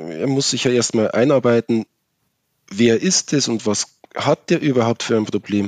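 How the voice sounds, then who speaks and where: In a normal speaking voice, a man speaks at a medium pitch and a fairly slow pace with ordinary pitch variation, the sound dry and close with no echo. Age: 30s. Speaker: master electrician with a rare eye disease. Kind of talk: interview about personal experience.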